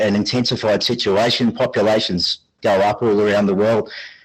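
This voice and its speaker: A man speaks with an Australian accent. His pitch is fairly low and his pace moderate. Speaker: audience member. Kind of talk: question from audience.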